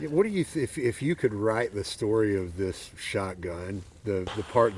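Speaking with a Southern US accent, a man uses a fairly low pitch. His pace is moderate and his pitch variation ordinary. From Arkansas. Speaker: podcast host. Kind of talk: casual chat. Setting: outdoors.

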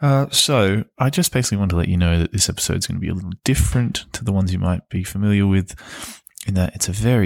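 Recorded very cleanly against a silent background, with a dry, close sound and no echo, a man with an Australian accent speaks in a very deep, low voice with ordinary pitch variation. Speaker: podcast host. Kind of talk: casual podcast intro.

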